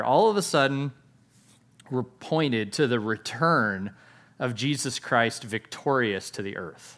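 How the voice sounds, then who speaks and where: A man with an ordinary speaking voice talks at a medium pitch and a fairly slow pace, with lively intonation. The recording is very clean, with a silent background. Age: 40s. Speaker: pastor. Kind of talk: sermon.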